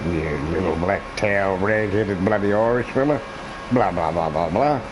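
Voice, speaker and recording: Noticeable background noise and audible room echo accompany a man with a fairly low pitch. He keeps a moderate pace and very even loudness, with ordinary pitch variation. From Australia. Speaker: gaming streamer. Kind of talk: casual live-stream commentary.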